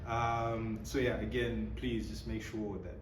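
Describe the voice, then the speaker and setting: The speech moves at a very slow pace. Noticeable background noise runs behind it. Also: man. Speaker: YouTuber, interviewer. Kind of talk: casual interview questions.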